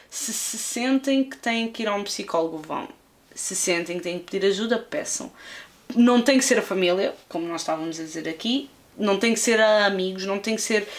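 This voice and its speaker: A woman with a normal speaking voice, medium pitch, ordinary pitch variation, and big swings in loudness. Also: moderate pace. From Lisbon, Portugal. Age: 20s. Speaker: YouTube film critic. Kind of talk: casual interview chat.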